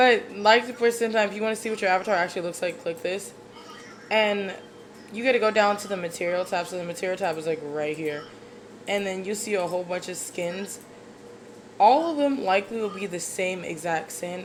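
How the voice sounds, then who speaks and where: Noticeable background noise behind a woman's fairly quick delivery. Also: medium pitch for a woman, ordinary pitch variation. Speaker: YouTuber making 3D avatar tutorials. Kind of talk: tutorial. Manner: casual, chatty.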